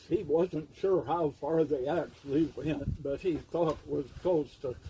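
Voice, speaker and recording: Noticeable background noise runs under a man's fairly high voice. He speaks very slowly with ordinary pitch variation. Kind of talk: casual family storytelling.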